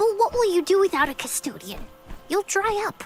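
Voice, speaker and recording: The speaker puts on a character voice. Clear music plays in the background. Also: moderate pace. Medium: video game. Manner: earnest, eager.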